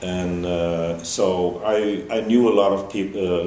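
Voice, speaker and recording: A man with a German accent is heard with audible room echo and noticeable background noise. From Germany. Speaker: festival organizer. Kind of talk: interview. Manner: halting, many fillers.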